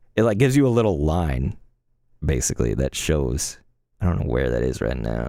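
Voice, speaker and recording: Very wide pitch swings, a dark, mellow tone and vocal fry at a fairly quick pace. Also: man, very deep, low pitch for a man. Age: 30s. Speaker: gaming streamer. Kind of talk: casual live stream chat. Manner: animated.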